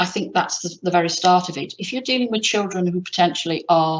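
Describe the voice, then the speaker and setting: She speaks at a fairly quick pace. The woman's pitch is medium, with ordinary variation. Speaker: education buildings specialist presenter. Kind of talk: presentation with slides. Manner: fast.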